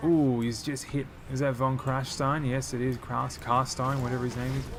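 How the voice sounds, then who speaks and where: A man with an Australian accent speaks at a fairly quick pace. Noticeable background noise and audible room echo are present. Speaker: gaming YouTuber. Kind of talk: live gameplay commentary. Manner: fast; animated.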